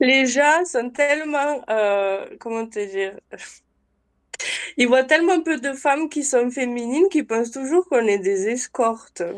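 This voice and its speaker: Very slowly, a woman speaks at a high pitch with lively intonation. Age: 20s. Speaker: nursing assistant. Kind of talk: casual chat.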